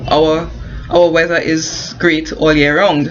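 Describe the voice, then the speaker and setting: Amid noticeable background noise and audible room echo, a woman with a Caribbean accent speaks at a very slow pace in a very deep, low pitch with monotone, flat intonation. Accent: non-US, Caribbean. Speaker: construction worker and online business promoter. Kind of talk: informal advice vlog. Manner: halting, many fillers and restarts.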